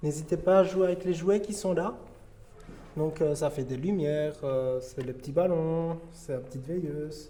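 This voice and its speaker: At a fairly slow pace with long, frequent pauses, a man speaks at a fairly high pitch with ordinary pitch variation, amid audible room echo and noticeable background noise. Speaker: paranormal investigator. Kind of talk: on-location ghost hunt narration. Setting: dark building at night. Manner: whispering; halting.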